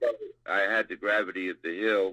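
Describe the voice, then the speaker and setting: The sound is close and dry, without echo. A man talks in an American accent. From US East Coast. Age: 60s. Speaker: eyewitness. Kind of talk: interview, recounting an encounter.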